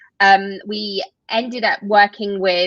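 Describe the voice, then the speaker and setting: Heard with a dry, close sound and no echo, a woman with a medium pitch and a bright, sharp tone speaks in a British accent. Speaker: tech company co-founder. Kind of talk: interview.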